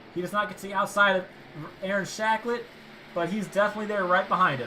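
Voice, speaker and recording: A very fast pace against noticeable background noise. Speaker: sim racing commentator. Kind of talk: live commentary. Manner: momentary stuttering.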